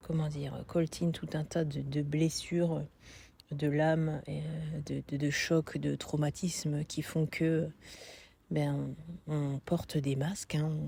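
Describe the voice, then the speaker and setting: With a northern French accent, a woman speaks at a very slow pace in a very deep, low pitch, her tone dark, mellow and somewhat breathy, her intonation monotone and flat. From northern France. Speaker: coaching client. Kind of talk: testimony. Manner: hesitant, many fillers.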